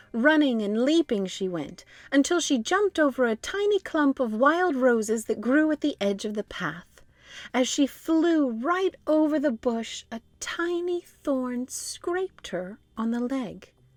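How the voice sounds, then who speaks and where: Speaking at a fairly slow pace, a woman with a high pitch makes very wide pitch swings in a dry, close sound with no echo. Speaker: voice actor. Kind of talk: children's book read-aloud.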